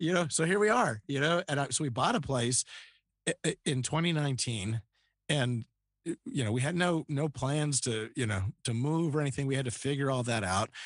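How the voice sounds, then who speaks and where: With an American accent, a man with an unremarkable speaking voice talks at a fairly quick pace and fairly high pitch, his intonation lively and his loudness very even. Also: dry, close sound with no echo, quiet background. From Northern Virginia, US. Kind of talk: interview conversation.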